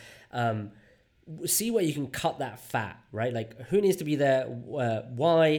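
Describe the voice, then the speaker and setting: Here a man speaks fairly slowly at a fairly high pitch with lively intonation. He has an ordinary speaking voice. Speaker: UX design leader and workshop facilitator. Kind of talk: interview. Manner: casual, many fillers.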